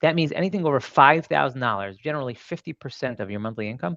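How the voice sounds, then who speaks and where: Over a quiet background, a man talks at a fairly quick pace in a Brooklyn accent. His pitch varies in an ordinary way. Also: dry, close sound with no echo. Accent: New York (Brooklyn). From Brooklyn, New York. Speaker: mortgage loan officer. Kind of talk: presentation at a seminar. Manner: fast.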